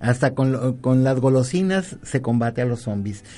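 Here a man talks at a medium pitch and a fairly slow pace, with ordinary pitch variation. His tone is dark and mellow, against a quiet background. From Colima, Mexico. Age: 50s. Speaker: university professor. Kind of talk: radio talk show interview. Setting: radio studio.

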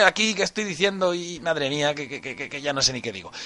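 This man speaks with a high voice. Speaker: online radio host. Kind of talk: casual live stream chat.

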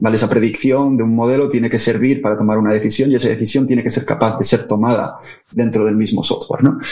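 Very fast and with very even loudness, a man talks in monotone, flat intonation. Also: medium pitch for a man. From Asturias, Spain (Oviedo). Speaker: tech business lead, physicist. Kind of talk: interview conversation.

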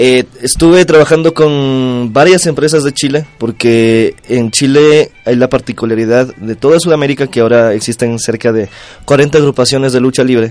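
This man has an ordinary speaking voice at medium pitch with ordinary pitch variation. He talks at a moderate pace with hardly any pauses. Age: 20s. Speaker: professional wrestler. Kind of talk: interview.

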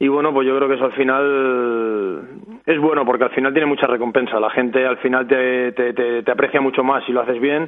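Here a man talks at a moderate pace with a medium pitch and an ordinary speaking voice. His intonation is fairly even and his loudness very even. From Barcelona, Catalonia. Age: 30s. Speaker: footballer (goalkeeper). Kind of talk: casual interview.

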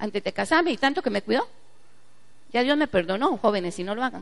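Speaking very fast, a woman has a fairly high pitch with vocal fry. Her intonation is lively. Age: 40s. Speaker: pastor. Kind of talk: sermon.

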